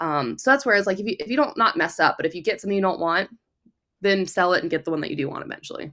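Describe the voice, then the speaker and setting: A woman speaks at a very fast pace, her medium-pitched voice bright and sharp with very wide pitch swings. The recording is very clean, with a silent background. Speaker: gun writer and shooter. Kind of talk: casual chat.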